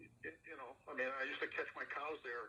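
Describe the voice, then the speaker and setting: At a fairly quick pace, a man talks. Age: 60s. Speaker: farmer. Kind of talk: public meeting.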